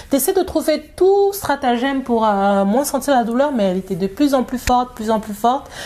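Over noticeable background noise, a woman with a high pitch talks at a moderate pace, her pitch swinging very widely and hardly any pauses breaking her speech. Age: 30s. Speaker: new mother, community group founder. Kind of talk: casual interview. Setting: living room at home.

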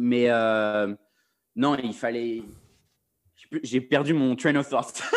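Pausing long and often, a man at a medium pitch speaks at a very slow pace with fairly even intonation. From Paris, France. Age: 20s. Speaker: freelance video director. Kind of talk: casual chat.

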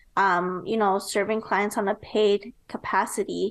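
Against a quiet background, a woman with an American accent and a plain, everyday voice speaks fairly slowly at a fairly high pitch with fairly even intonation. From US Midwest, Nebraska. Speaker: entrepreneur and marketing strategist. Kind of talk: interview.

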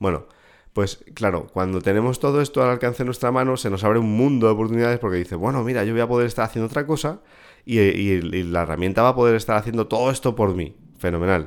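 A man rattles along at a very fast pace on a very clean recording where the background is silent. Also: ordinary pitch variation. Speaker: podcast host. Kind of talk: solo podcast monologue. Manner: conversational.

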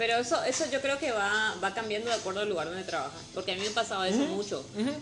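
A woman speaks very fast in a northeastern Argentine accent, with lively intonation and a medium pitch. Noticeable background noise runs underneath. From northeastern Argentina. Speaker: restaurant worker. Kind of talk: casual chat.

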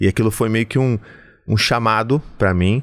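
An ordinary speaking voice from a man, moderately paced, pitched fairly low, its pitch varying in an ordinary way. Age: 40s. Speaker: psychoanalyst and podcast host. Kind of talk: solo podcast monologue. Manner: warm, conversational.

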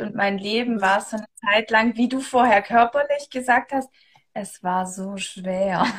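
A plain, everyday voice, a woman's, fairly high in pitch, at a fairly slow pace with fairly even intonation. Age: 30s. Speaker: human design coach. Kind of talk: casual chat. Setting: Instagram live video stream.

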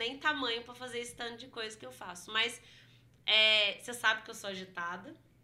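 A woman's fairly high-pitched, a normal speaking voice, with ordinary pitch variation. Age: 30s. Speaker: history teacher and culture director. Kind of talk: casual interview.

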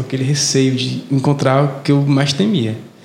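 A man with a Fortaleza accent speaks at medium pitch with ordinary pitch variation. Noticeable background noise and audible room echo are present. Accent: Fortaleza (cearense). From Fortaleza, Ceará, Brazil. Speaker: podcast co-host. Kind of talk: casual chat.

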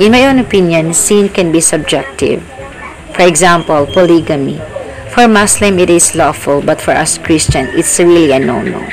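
Over music in the background, the speech goes at a fairly slow pace with lively intonation. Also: woman. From Philippines. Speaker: listener. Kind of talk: recorded reflection.

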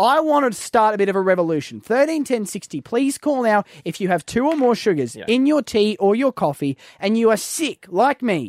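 High-pitched Australian-accented speech from a man, moderate in pace, with very wide pitch swings and a dry, close sound with no echo.

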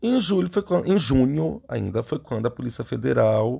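Against a quiet background, a man speaks at a medium pitch. His somewhat breathy voice moves through very wide pitch swings. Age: 30s. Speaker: podcast host and clinical psychologist. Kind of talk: solo commentary monologue.

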